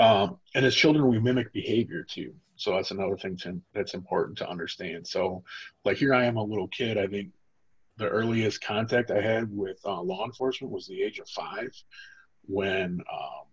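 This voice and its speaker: A man talks at a moderate pace with a fairly low pitch. His voice is somewhat breathy, with ordinary pitch variation. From Toledo, Ohio, US Midwest. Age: 40s. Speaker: formerly incarcerated trauma educator. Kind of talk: training lecture with personal testimony. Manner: casual, filler-heavy speech.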